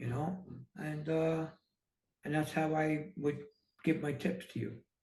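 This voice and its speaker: A man with an American accent speaks at a fairly slow pace in a fairly high pitch, his intonation fairly even. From New York City. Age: 60s. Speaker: entrepreneur and author. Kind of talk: casual interview.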